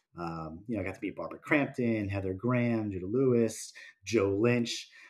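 A man's unremarkable speaking voice, fairly low-pitched and fairly quick, on a very clean recording with a silent background. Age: 40s. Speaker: podcast co-host, horror film fan. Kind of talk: casual chat about films.

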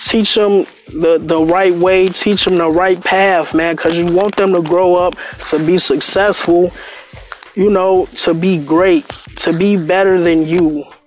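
Amid noticeable background noise, a man with a high voice for a man speaks at a fairly slow pace, his loudness very even and his intonation fairly even. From Chicago, Englewood. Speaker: podcast host. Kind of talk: casual monologue.

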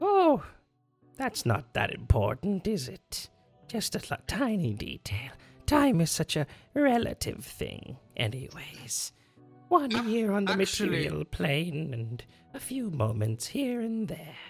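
A put-on character voice at a middle pitch swings very widely up and down. It moves at a fairly slow pace, with faint music in the background. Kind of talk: menacing bargaining villain. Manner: sly, coolly amused, evasive.

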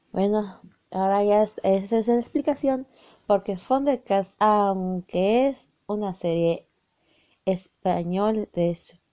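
A woman's voice with a dark, mellow tone. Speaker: anime YouTuber. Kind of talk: casual monologue. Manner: halting.

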